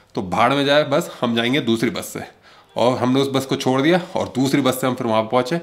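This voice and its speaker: The background stays quiet. Here a man talks, his pitch varying in an ordinary way. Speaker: travel vlogger. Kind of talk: casual vlog chat. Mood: playful storytelling. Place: home room. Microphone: phone near.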